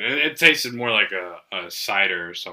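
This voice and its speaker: A man of medium pitch talks at a moderate pace in an ordinary speaking voice with ordinary pitch variation. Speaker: podcast host. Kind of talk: casual banter over beers. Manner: joking, profane.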